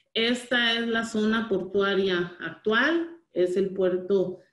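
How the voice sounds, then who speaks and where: A woman talks at a very slow pace. The background is quiet, though audible room echo can be heard. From Costa Rica. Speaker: port authority manager; presenter. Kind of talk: webinar presentation. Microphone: video call.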